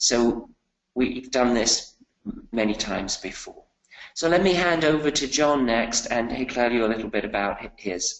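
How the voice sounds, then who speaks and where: A British accent at a moderate pace, with ordinary pitch variation. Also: man, medium pitch for a man. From UK. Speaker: finance professor. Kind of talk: webinar presentation. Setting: online webinar.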